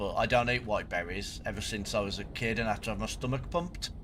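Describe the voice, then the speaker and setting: There's audible room echo as a man speaks at a fairly quick pace. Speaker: gaming streamer. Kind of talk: live gameplay commentary.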